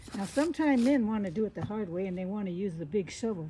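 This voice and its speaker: A woman talks at a very fast pace and medium pitch. Noticeable background noise can be heard behind her. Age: 70s. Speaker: lifestyle vlogger. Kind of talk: tutorial. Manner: casual, chatty.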